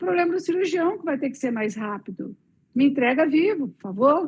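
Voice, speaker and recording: A woman with a high voice speaks in very wide pitch swings. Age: 60s. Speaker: veterinary oncologist. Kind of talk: lecture. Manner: animated.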